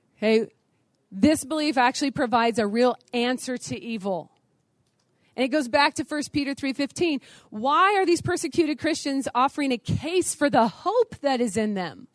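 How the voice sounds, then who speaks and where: Loud and animated, a woman talks at a moderate pace in a high voice with lively intonation, the sound dry and close with no echo. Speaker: conference speaker on apologetics. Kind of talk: lecture. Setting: stage with audience.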